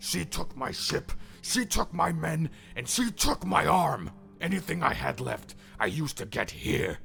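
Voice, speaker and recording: With clear music in the background, a man uses a put-on character voice at a fairly high pitch and a moderate pace. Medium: read story. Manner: desperate, ranting.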